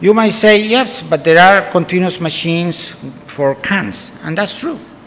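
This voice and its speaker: A man with a Spanish accent and a high pitch, fairly slow delivery, ordinary pitch variation, audible room echo and noticeable background noise. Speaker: food science professor. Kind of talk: conference lecture. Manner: halting, many fillers.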